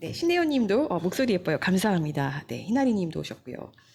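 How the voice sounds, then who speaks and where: Somewhat breathy, a woman talks at a fairly quick pace with very wide pitch swings. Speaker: news show host, journalist. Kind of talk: live-stream news talk show. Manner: conversational, many fillers.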